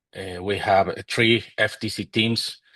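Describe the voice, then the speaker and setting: A man's medium-pitched voice with a Mexican accent, very slow pace, fairly even intonation, and a quiet background. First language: Spanish. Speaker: robotics team mentor. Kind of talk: panel discussion.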